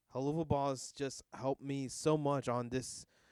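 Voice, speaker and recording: A man with a medium pitch speaks in a dry, close sound with no echo. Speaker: YouTube reaction channel creator. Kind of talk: casual solo vlog talk. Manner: loud; halting, many fillers.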